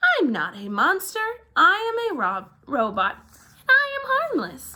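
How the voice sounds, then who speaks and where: A woman uses a put-on character voice at an extremely high pitch, speaking at a fairly slow pace. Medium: read story. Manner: formal, stiff, literal.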